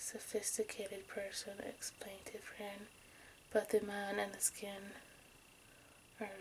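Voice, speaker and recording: Soft-spoken, monotone, flat delivery at a fairly slow pace, with long, frequent pauses, big swings in loudness and noticeable background noise. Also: woman. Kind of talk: true crime story reading.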